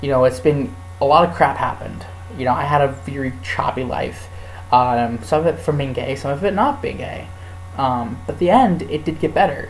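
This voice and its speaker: With music in the background and audible room echo, the voice makes very wide pitch swings. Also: man, medium pitch for a man. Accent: American. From California. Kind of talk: casual vlog. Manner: fast; animated. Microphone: laptop mic.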